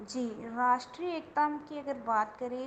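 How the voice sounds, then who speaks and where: There is audible room echo and noticeable background noise as a woman speaks with a Dogri accent. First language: Dogri (speaking Hindi). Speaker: guest lecturer in Hindi. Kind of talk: interview. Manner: formal.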